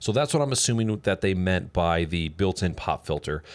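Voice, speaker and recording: Here a man talks at a moderate pace. His intonation is lively. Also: very clean recording, silent background. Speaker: tech reviewer. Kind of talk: product review. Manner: loud.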